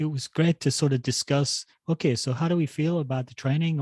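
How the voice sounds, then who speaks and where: In a very clean recording with a silent background, a man talks at a fairly quick pace in a fairly high, somewhat breathy voice with a dark, mellow tone and monotone, flat intonation. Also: dry, close sound with no echo. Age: 60s. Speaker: running podcast co-host. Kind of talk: casual chat.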